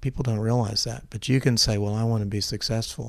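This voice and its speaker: A man with a fairly low pitch and an American accent, talking at a very fast pace. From US South, Memphis, Tennessee. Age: 60s. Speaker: agricultural scientist, seed vault founder. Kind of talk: interview conversation. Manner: hesitant, with fillers and repetitions.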